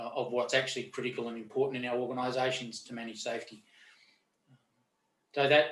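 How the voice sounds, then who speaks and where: Speaking very fast in an Australian accent, a man with a medium pitch keeps a flat, monotone intonation, with big swings in loudness and long, frequent pauses. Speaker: lawyer and safety expert. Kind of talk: interview conversation. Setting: webinar video call. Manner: halting with fillers.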